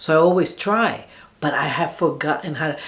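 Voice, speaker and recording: With audible room echo, a woman speaks at a moderate pace in a very deep, low pitch and fairly even intonation. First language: Spanish. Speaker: YouTuber. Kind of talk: reaction video monologue. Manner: casual, halting with fillers.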